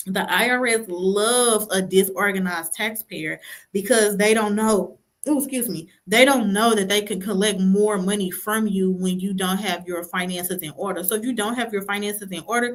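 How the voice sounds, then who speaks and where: A woman speaks in an unremarkable speaking voice. Her pace is moderate and her intonation fairly even. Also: medium pitch for a woman. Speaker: tax preparer. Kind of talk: live stream talk. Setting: livestream.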